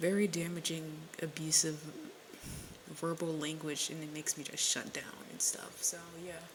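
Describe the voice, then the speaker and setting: This woman's pitch is very deep and low, and her intonation is monotone and flat. She speaks at a moderate pace over noticeable background noise. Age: 20s. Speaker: podcaster. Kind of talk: casual solo podcast monologue. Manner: rambling, filler-heavy.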